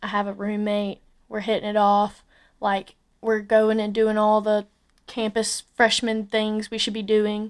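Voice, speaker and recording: A woman with an Alabama accent speaks at a fairly slow pace in a fairly high pitch, her intonation flat and monotone, on a very clean recording with a silent background. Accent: Southern US (Alabama). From US South, Alabama. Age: 20s. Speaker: podcast host. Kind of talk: casual solo podcast monologue. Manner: casual, filler-heavy.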